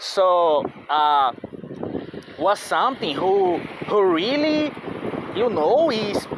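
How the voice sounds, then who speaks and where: There is noticeable background noise. The speaker has a non-native accent. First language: not English. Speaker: vlogger. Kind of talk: casual monologue. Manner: halting.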